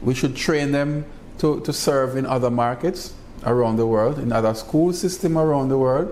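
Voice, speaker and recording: Recorded with audible room echo, a man speaks at a medium pitch with ordinary pitch variation. His pace is moderate and his loudness very even. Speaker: university college president. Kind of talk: interview.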